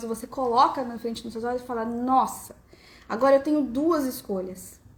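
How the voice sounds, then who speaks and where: At a fairly quick pace, the woman speaks in a high pitch with an animated tone. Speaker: family constellation coach. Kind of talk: live stream talk. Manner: fast.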